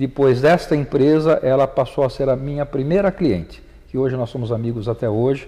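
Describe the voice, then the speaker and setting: This man's voice has a dark, mellow tone, and his pitch varies in an ordinary way. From Brazil, São Paulo city. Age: 50s. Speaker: accountant and business association president. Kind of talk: interview. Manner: hesitant fillers and repetitions.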